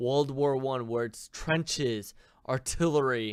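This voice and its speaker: This man talks at a very slow pace. His pitch sits in the medium range for a man. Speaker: game master. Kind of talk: casual chat. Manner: halting.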